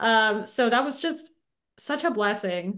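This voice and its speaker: Against a quiet background, a woman with an ordinary speaking voice and an American accent talks at a moderate pace in a medium pitch with ordinary pitch variation. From Los Angeles, US West Coast. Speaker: actress. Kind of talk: interview.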